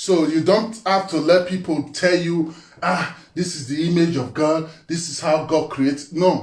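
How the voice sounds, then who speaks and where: Over noticeable background noise, a man with a high pitch talks in an animated tone at a fairly slow pace. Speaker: spiritual teacher. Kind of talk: monologue talk. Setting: live video.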